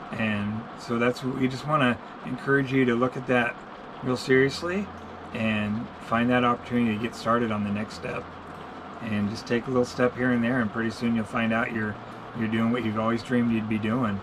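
Noticeable background noise sits under speech that runs at a fairly quick pace with fairly even intonation. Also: man. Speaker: channel host. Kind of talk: casual vlog chat. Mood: encouraging, earnest. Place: home room. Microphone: camera far.

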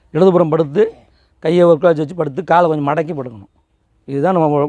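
A man's fairly high-pitched, ordinary speaking voice with ordinary pitch variation. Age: 40s. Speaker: naturopathy and yoga teacher. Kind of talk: health talk. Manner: casual.

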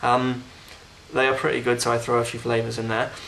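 A man with a British accent, medium in pitch, in a monotone, flat delivery against noticeable background noise. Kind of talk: casual unboxing talk to camera.

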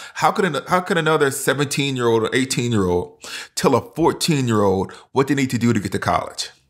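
A man with an unremarkable speaking voice talks at a medium pitch and a moderate pace, his intonation lively. The recording is very clean, with a silent background. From US South. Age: 40s. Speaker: professor and pastor. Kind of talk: casual chat.

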